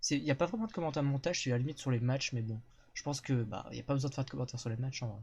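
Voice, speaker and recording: A man's medium-pitched, somewhat breathy voice at a very fast pace, with ordinary pitch variation. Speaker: streamer. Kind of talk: casual chat. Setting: live stream with guests.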